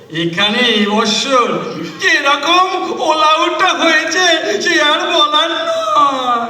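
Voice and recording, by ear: Someone speaks slowly in a put-on character voice with lively intonation. Audible echo fills the room. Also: man, extremely high pitch for a man.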